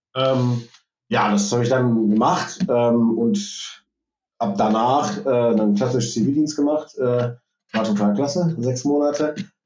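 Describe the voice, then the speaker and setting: At a very slow pace, a man speaks in a medium pitch with very even loudness. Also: ordinary pitch variation. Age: 30s. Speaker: IT manager. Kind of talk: interview. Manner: hesitant, many fillers.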